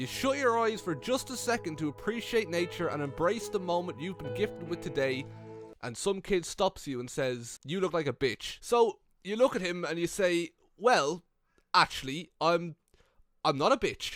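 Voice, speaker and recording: Man with a high pitch and very wide pitch swings at a moderate pace, music playing in the background. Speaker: comedy YouTuber. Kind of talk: comedic narration to camera.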